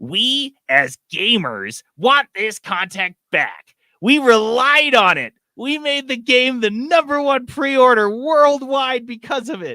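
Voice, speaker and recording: A man's put-on character voice, extremely high-pitched, at a fairly slow pace with ordinary pitch variation, in a dry, close sound with no echo. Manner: mocking, put-on.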